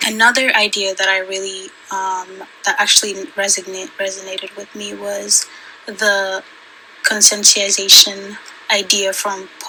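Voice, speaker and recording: A soft-spoken woman at medium pitch and a fairly slow pace, with monotone, flat intonation and noticeable background noise. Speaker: student. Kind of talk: class assignment vlog. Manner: halting.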